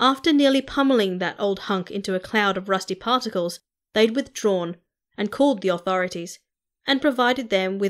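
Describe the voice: Simple reading aloud against a silent backdrop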